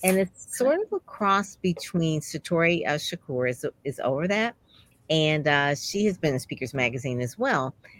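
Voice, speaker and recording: Speaking with an American accent, this woman has a very deep, low pitch and lively intonation. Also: dry, close sound with no echo. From Detroit. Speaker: podcast host. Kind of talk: interview.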